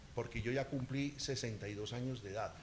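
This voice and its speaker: The voice belongs to a man. Its pitch is in the middle range. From Colombia, eastern Antioquia. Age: 60s. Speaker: political candidate. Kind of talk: campaign interview. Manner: animated.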